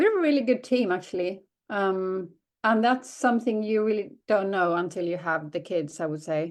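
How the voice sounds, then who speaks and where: In a Swedish accent, a woman speaks at a moderate pace with a medium pitch. Her intonation is lively. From southern Sweden. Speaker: working mother. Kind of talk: casual interview chat. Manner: halting, many fillers.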